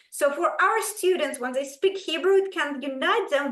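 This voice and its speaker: Moderate-paced speech from a woman. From Ukraine, former Soviet Union. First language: Russian. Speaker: school language program leader. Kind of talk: presentation to parents. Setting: video call.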